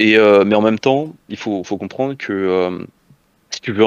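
This man has a fairly low voice and speaks at a moderate pace. His pitch varies in an ordinary way. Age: 20s. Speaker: esports coach. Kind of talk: casual interview. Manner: halting.

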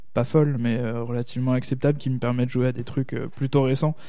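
In a plain, everyday voice, a man talks at a moderate pace with medium pitch and fairly even intonation. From Alsace. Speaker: podcaster. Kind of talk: casual chat.

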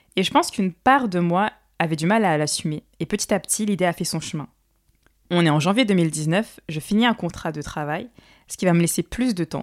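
In a very clean, dry, close recording with no echo and a silent background, a woman with an unremarkable speaking voice talks at a moderate pace, her medium pitch showing ordinary variation. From Paris suburbs, France. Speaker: podcast host and singer. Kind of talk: solo monologue.

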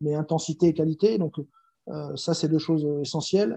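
A man's fairly high-pitched voice with a dark, mellow tone and fairly even intonation, in a dry, close sound with no echo. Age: 40s. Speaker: handball coach and former pro player. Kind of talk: interview. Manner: hesitant, many fillers and repetitions.

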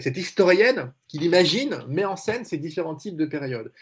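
The recording is very clean, with a silent background. The voice is somewhat breathy, moving at a fairly quick pace with lively intonation. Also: man. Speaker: journalist and essayist. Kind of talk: panel discussion.

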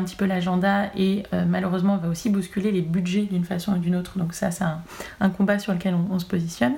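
Talking at a very fast pace, a woman with a medium pitch and a dark, mellow, somewhat breathy tone keeps her intonation fairly even. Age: 20s. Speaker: cannabis cosmetics brand representative. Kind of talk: interview.

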